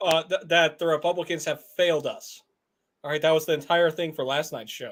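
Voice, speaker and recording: A man with an American accent speaks in a fairly high voice at a fairly quick pace. His intonation is monotone and flat. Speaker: podcast host. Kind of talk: casual chat.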